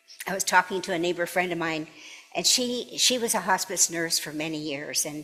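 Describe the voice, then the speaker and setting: Amid noticeable background noise, a woman talks at a moderate pace with a fairly low pitch and lively intonation. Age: 80s+. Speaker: minister. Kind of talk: sermon. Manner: halting.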